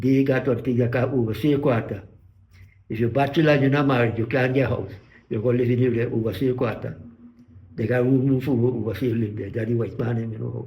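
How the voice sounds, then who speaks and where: Through audible room echo, a man speaks fairly quickly in a dark, mellow, somewhat breathy voice of medium pitch with fairly even intonation. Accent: Guyanese. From Guyana, West Coast Demerara. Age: 90s. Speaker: retired sugar worker. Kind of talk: interview. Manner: halting.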